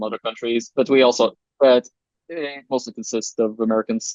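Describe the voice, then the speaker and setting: The speaker has a non-native accent and a monotone, flat intonation. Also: man. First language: not English. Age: young (18). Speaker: game developer. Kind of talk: interview. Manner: halting.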